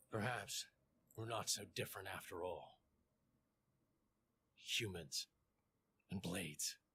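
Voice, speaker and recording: A man puts on a character voice with a fairly low pitch and ordinary pitch variation. He talks at a fairly slow pace with long, frequent pauses. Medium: video game. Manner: terse, restrained.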